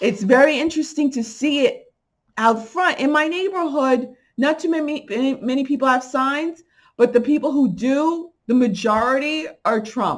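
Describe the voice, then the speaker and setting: Speaking in a New York accent, a woman with a high pitch and an animated tone keeps a moderate pace and ordinary pitch variation. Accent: New York accent, coming through. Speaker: spiritual channel vlogger. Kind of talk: casual vlog monologue.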